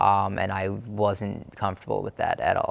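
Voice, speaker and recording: On a very clean recording with a silent background, a man speaks in a fairly low pitch with monotone, flat intonation. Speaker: transgender young man sharing his story. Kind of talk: interview. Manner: halting, many fillers.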